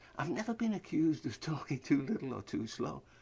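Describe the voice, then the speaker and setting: The voice is somewhat breathy and moves at a fairly quick pace. Its pitch swings very widely. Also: man. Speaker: spoken word monologuist. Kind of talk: scripted spoken-word monologue. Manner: fast; rapid-fire, rhythmic delivery.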